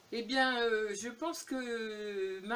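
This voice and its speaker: The woman's voice sits fairly high in pitch. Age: 70s. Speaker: YouTuber. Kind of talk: casual Q&A tag video. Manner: hesitant, many fillers.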